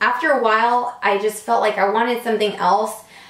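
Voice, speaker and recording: This woman's voice sits fairly high and carries an animated tone at a moderate pace. Noticeable background noise and audible room echo surround her. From Puerto Rico. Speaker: beauty salon owner and vlogger. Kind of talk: casual vlog storytelling. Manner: loud.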